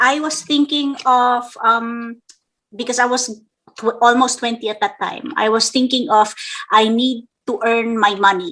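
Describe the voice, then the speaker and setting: A woman speaks at a fairly slow pace in a high pitch with a bright, sharp tone and fairly even intonation. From Philippines. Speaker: actress and singer. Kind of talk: casual interview chat.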